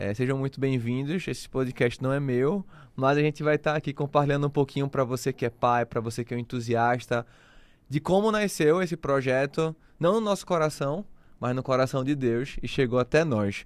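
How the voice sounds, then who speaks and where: In a northeastern Brazilian accent, a man speaks at a moderate pace and a fairly high pitch with ordinary pitch variation, the sound dry and close with no echo. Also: very clean recording, silent background. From Recife, northeastern Brazil. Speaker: podcast host. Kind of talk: casual chat.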